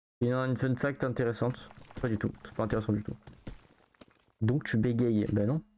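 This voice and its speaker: The speaker is mumbling at a fairly quick pace. Long, frequent pauses break up the speech. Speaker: video game streamer. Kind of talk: live game stream chat. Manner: fast; mumbles words.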